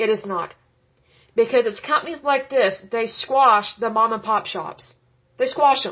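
A woman's fairly high voice proceeds at a fairly slow pace. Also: ordinary pitch variation. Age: 30s. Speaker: podcast host. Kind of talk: solo educational podcast monologue. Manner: animated.

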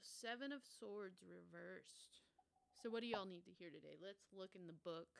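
Her loudness swings widely as a woman speaks at a moderate pace. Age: 20s. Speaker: podcast host and comedian. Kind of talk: casual solo chat.

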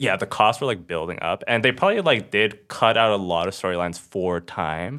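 A man speaks in a plain, everyday voice at a fairly quick pace, his pitch fairly low with ordinary variation. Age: 30s. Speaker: comedian and engineer. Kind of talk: casual chat.

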